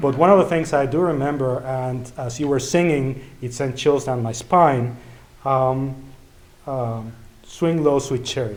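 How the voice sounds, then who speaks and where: In a Spanish accent, a somewhat breathy man talks at a moderate pace with fairly even intonation, and audible room echo surrounds him. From Mexico (Mexico City). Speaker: event organizer and emcee. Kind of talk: event speech. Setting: church event with audience.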